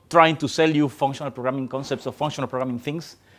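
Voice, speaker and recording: In a very clean recording with a silent background, a man with a Spanish accent talks in a fairly high pitch with ordinary pitch variation. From Colombia. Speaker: software developer. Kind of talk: tech talk. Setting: stage with audience. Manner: hesitant, many fillers.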